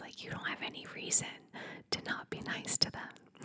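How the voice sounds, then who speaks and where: Someone whispers in a soothing tone over noticeable background noise. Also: woman. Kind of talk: ASMR whispered advice talk. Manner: whispered, soft, soothing.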